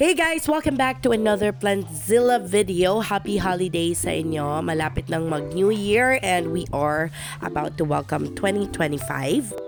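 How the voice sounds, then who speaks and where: Speech at a moderate pace with hardly any pauses, music playing in the background. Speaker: plant vlogger. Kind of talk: casual vlog garden tour.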